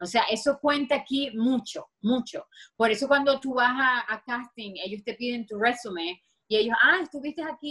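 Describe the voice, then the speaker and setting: With a strong Venezuelan accent, the speaker talks at a moderate pace with ordinary pitch variation. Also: woman. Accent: strong Venezuelan (Maracaibo). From Venezuela, Maracaibo (Zulia). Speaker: dancer and choreographer. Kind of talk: interview.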